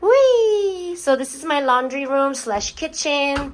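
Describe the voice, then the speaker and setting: Her pitch swinging very widely, a woman speaks with a non-native accent. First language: not English. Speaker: lifestyle vlogger. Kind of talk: home tour vlog. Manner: casual, hesitant with fillers.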